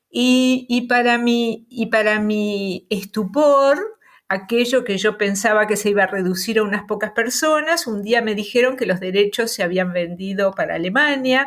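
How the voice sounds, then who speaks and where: With a Rioplatense accent, a woman talks at a fairly slow pace. Her pitch is fairly high, with ordinary pitch variation. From Uruguay, Montevideo. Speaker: novelist. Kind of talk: interview. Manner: hesitant, many fillers.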